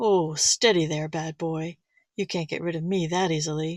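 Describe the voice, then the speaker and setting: A woman performs a put-on character voice with a fairly low pitch and fairly even intonation at a moderate pace. The recording is very clean, dry and close, with a silent background and no echo. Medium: read story.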